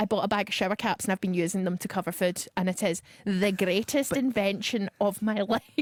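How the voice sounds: The speaker uses a natural reading voice.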